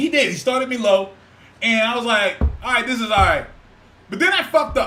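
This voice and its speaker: Amid noticeable background noise, a man uses a raised, projected voice at an extremely high pitch, with an animated tone, lively intonation, a fairly quick pace and long, frequent pauses. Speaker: podcast co-host. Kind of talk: casual chat. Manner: loud.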